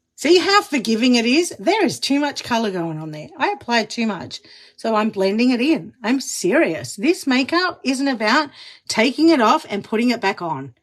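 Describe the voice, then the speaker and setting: The voice has an Australian accent and an animated tone. Its pitch swings very widely. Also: woman, high pitch for a woman, moderate pace. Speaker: makeup demonstrator, live streamer. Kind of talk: live makeup tutorial. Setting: enclosed studio booth, live stream.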